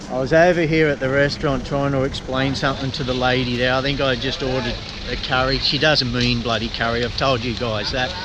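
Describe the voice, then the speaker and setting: Someone with an Australian accent talks at a very fast pace in monotone, flat intonation, with audible room echo and noticeable background noise. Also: man, medium pitch for a man. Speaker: travel vlogger. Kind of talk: casual vlog chat.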